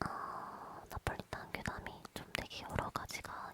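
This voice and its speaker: Whispering comes at a very slow pace. Noticeable background noise is present. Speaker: ASMR content creator. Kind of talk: casual talk to camera introducing the stories. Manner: whispering, soft.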